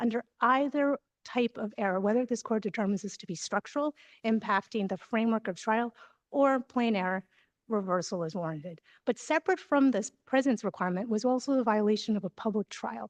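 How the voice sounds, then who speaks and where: Over a quiet background, a woman speaks fairly quickly in a fairly high voice with ordinary pitch variation, the sound dry and close with no echo. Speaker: defense attorney. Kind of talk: appellate oral argument. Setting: courtroom. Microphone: too far from microphone, hard to hear.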